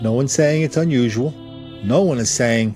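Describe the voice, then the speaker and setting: Music plays in the background. The intonation is lively. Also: man. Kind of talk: news commentary narration.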